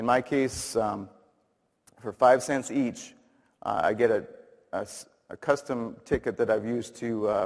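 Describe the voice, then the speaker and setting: Delivery comes at a fairly slow pace with long, frequent pauses. The intonation is fairly even. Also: man, medium pitch for a man. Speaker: dentist giving a talk. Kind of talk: conference presentation. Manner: loud; halting, many fillers.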